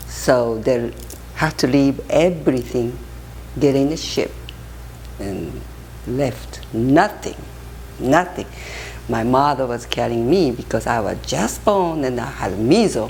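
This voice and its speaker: With a Japanese accent, a woman speaks at a very slow pace with long, frequent pauses, amid noticeable background noise and audible room echo. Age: 70s. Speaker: interviewee. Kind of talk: life story interview. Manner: halting.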